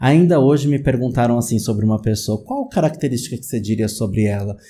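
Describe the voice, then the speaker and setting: In a São Paulo accent, a man with a medium pitch and a dark, mellow, somewhat breathy tone speaks very fast with ordinary pitch variation on a very clean recording over a silent background. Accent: São Paulo Brazilian Portuguese. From Greater São Paulo, Brazil. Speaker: psychologist, YouTube host. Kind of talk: casual educational talk to camera. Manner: conversational, many fillers (né).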